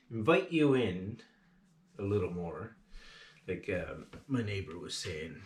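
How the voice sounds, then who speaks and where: A man is talking here. Some room echo can be heard. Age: 60s. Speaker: outdoor vlogger. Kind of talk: casual vlog talk. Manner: hesitant, many fillers.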